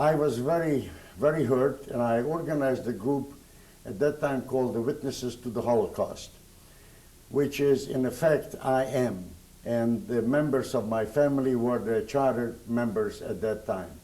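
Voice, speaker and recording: At a moderate pace, a man speaks in a dark, mellow tone with audible room echo. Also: medium pitch for a man, ordinary pitch variation. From Hungary. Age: 70s. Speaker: Holocaust survivor. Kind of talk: oral history interview. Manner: halting.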